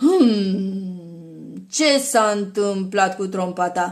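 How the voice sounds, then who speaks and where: The speaker uses a put-on character voice. The recording is very clean, with a silent background. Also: woman, medium pitch for a woman. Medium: read story.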